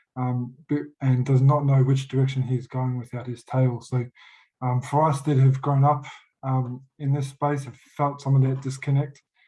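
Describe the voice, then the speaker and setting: In an Australian accent, a man talks at a moderate pace with a medium pitch, a dark, mellow, somewhat breathy tone and flat, monotone intonation. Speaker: youth worker, audience member asking a question. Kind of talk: panel Q&A question. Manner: halting, many fillers and restarts.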